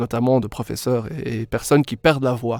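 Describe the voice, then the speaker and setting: A man talks with ordinary pitch variation. The sound is dry and close, with no echo. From Belgium, Brussels (Molenbeek). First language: English (speaking French). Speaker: English pronunciation coach, former speech therapist. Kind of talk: podcast interview.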